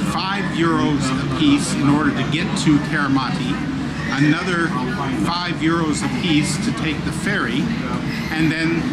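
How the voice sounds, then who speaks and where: A man at a fairly slow pace, with long, frequent pauses and crowd noise in the background. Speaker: travel vlogger. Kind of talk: casual vlog chat. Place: boat. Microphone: phone near.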